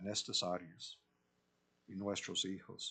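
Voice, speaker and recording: A man with an English accent speaks at a very slow pace. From US South. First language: English (speaking Spanish). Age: 70s. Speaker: pastor. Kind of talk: sermon.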